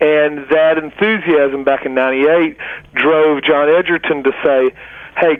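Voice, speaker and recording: A man with a strong Southern US accent talks at a moderate pace in a fairly high voice with fairly even intonation, over noticeable background noise. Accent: Southern US, heavy. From US South, middle Georgia. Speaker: food writer and nonprofit director. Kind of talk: interview.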